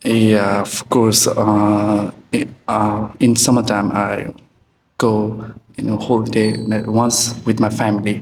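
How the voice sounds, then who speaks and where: Speaking at a very slow pace, a man keeps a monotone, flat intonation. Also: fairly low pitch for a man. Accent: Nepali. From Nepal, Morang district. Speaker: test candidate. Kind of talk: exam interview. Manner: hesitant.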